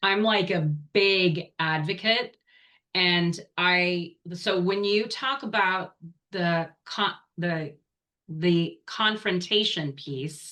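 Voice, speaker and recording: The tone is bright and sharp, with ordinary pitch variation. The pace is very slow. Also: woman, medium pitch for a woman. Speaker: organizational coach and author. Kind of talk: interview conversation. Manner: animated.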